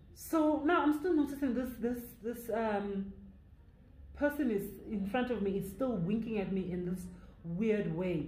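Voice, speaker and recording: Lively intonation at a fairly slow pace in a Zulu accent, with long, frequent pauses and audible room echo. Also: woman, fairly high pitch for a woman. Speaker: YouTuber storyteller. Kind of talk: storytime narration. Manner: code-switching English and Zulu.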